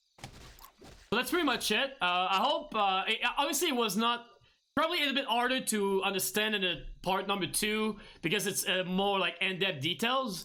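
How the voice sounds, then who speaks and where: With a non-native accent, a man projects a raised, high-pitched voice with a bright, sharp tone, lively intonation, very even loudness and a moderate pace. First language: not English. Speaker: gaming streamer; gamer, streamer. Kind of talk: tutorial. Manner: halting, many fillers and restarts. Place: home room.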